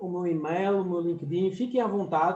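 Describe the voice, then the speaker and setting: A man at a high pitch and fairly slow pace, with audible room echo. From France and Portugal. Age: 40s. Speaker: professor. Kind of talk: lecture.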